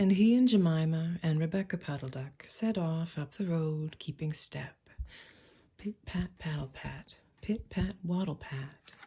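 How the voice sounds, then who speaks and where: The voice is soft-spoken with a calm tone and a fairly slow pace. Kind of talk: soft-spoken bedtime story reading. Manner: soft-spoken, calm, slow.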